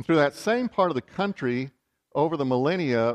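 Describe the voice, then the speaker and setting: The sound is dry and close, with no echo. A man speaks with a Texan accent. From West Texas. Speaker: bishop. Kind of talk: sermon.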